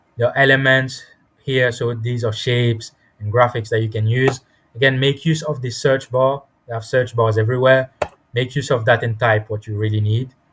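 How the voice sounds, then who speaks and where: Somewhat breathy, a man speaks at medium pitch with monotone, flat intonation. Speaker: software tutorial instructor. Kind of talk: tutorial.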